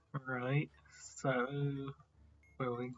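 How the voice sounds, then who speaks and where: This soft-spoken voice moves at a very slow pace. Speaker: gaming video creator. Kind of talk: gameplay commentary. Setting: at home.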